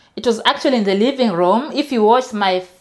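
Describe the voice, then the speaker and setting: A woman's voice at medium pitch, with ordinary pitch variation. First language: not English. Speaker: vlogger. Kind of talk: casual vlog. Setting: home, filming her room. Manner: halting.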